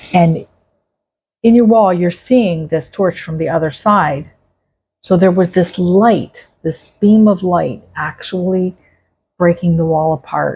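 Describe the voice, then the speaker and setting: Speaking at a very slow pace with long, frequent pauses, a woman uses a fairly low pitch, a dark, mellow tone, ordinary pitch variation and a somewhat breathy quality. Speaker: psychic medium storyteller. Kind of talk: personal storytelling monologue. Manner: conversational.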